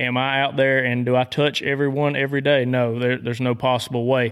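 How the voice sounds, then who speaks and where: A man with a Southern US accent talks at a fairly quick pace in a monotone, flat intonation. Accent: Southern twang. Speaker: dog trainer. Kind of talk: casual interview. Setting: hunting camp.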